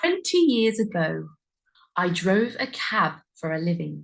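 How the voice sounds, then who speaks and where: Somewhat breathy, a woman with a British accent speaks at a fairly slow pace and medium pitch, her intonation lively. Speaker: English pronunciation teacher. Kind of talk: story reading for learners. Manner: slow, clear.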